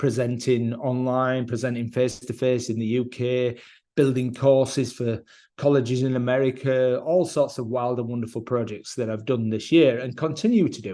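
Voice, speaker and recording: Here a man speaks with a British accent and a dark, mellow tone. His intonation is fairly even and his pace moderate. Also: medium pitch for a man. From UK. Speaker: education technology presenter. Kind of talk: online presentation.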